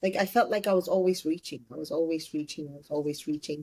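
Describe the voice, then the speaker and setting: Recorded dry and close with no echo, a woman with an Ethiopian accent has a dark, mellow tone and ordinary pitch variation. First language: Amharic. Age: 30s. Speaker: entrepreneur. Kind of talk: interview.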